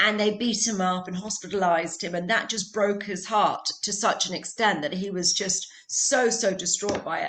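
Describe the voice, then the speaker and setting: A woman talks at a moderate pace with hardly any pauses, her pitch medium and her intonation fairly even. Noticeable background noise can be heard. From UK or Ireland. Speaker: holistic healer. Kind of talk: casual chat.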